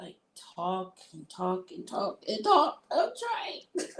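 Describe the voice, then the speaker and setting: A woman with a fairly high pitch speaks very slowly in an American accent. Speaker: livestreamer. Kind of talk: casual chat. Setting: live stream.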